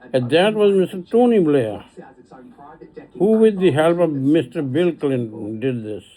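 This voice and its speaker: Long, frequent pauses break up speech with very wide pitch swings over noticeable background noise. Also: man, fairly high pitch for a man, fairly slow pace. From Pakistan. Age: 80s+. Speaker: retired elder giving a video message. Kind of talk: personal appeal monologue. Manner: halting.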